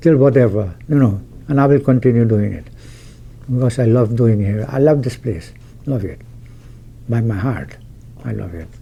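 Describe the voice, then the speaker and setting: Noticeable background noise sits behind a man talking at a moderate pace. His pitch is medium and his intonation lively. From Guyana. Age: 80s+. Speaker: mosque volunteer treasurer. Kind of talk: interview. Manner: halting.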